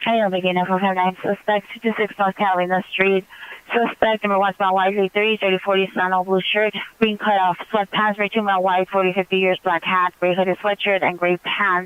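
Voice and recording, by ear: Clear, smooth tone at a fairly quick pace, little pitch movement, and a dry, close sound with no echo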